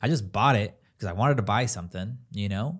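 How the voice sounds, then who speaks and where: Somewhat breathy and fairly quick, a man speaks with an American accent and lively intonation in a very clean recording with a silent background. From Southern California, Escondido. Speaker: real estate agent and investor. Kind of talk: casual interview.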